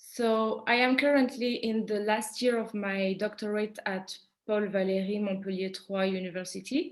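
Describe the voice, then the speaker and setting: In a French accent, the voice moves at a moderate pace with ordinary pitch variation. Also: woman, fairly high pitch for a woman. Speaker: PhD student and French teacher presenting research. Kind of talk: conference presentation. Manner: halting, with many fillers.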